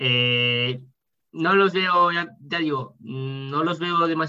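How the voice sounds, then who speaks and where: A man with a fairly high pitch and a bright, sharp tone speaks very slowly with ordinary pitch variation. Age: 20s. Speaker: powerlifter. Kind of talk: interview.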